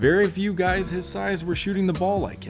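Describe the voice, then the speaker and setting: Music can be heard behind the voice. The man delivers his words at a moderate pace. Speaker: basketball video narrator. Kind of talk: sports history narration.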